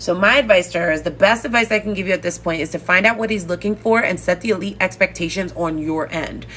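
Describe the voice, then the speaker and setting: The speech comes at a very fast pace. Noticeable background noise can be heard. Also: woman. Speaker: dating coach. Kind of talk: live stream coaching talk. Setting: live stream.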